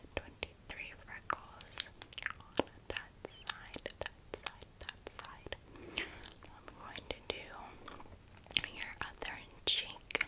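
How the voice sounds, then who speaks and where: Long pauses come often as the talker proceeds at a very slow pace. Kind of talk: soft-spoken roleplay to viewer. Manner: soft close whisper.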